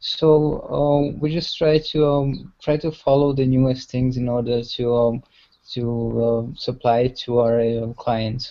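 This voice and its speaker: A man speaks very slowly with a Hungarian accent. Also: medium pitch for a man, fairly even intonation. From Hungary. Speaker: web analytics practitioner. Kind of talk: online workshop chat. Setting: video call. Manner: hesitant.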